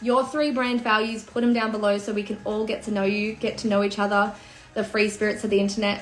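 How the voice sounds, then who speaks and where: Audible room echo and noticeable background noise accompany a woman speaking at a fairly quick pace. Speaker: personal branding coach. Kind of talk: livestream talk. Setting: home livestream. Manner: animated.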